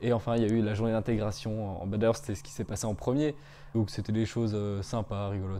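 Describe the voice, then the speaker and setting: A man talks at a very fast pace with a fairly low pitch. His tone is dark and mellow, and his intonation is fairly even. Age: 20s. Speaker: business school student. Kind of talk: testimonial interview. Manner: hesitant, many fillers.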